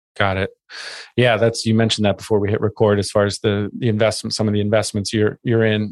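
Over a quiet background, a man with a fairly low voice speaks at a very fast pace in a monotone, flat way. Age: 40s. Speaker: podcast host. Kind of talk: casual chat.

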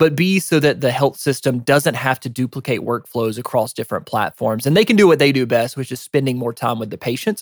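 Speaking at a fairly quick pace with hardly any pauses, a man with a medium pitch uses ordinary pitch variation, and the sound is dry and close with no echo. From US South, rural northeast Georgia. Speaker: healthcare tech executive. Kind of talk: casual interview.

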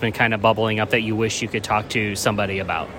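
Noticeable background noise behind a man's fairly quick, medium-pitched speech. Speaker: podcast host. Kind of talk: podcast intro and interview.

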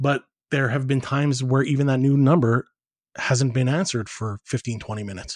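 In an ordinary speaking voice with a Canadian accent, the speaker goes at a fairly quick pace with ordinary pitch variation, the sound dry and close with no echo. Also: man, medium pitch for a man. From Edmonton, Alberta, Canada. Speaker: foundation director and marketing expert. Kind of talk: interview.

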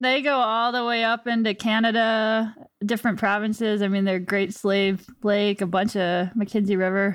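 With an ordinary speaking voice, a woman talks at a moderate pace and a fairly high pitch, with hardly any pauses. Her loudness is very even, her intonation fairly even, and the recording very clean with a silent background. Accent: American. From Virginia, US. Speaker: podcast host, wildlife agency staff. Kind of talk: casual chat.

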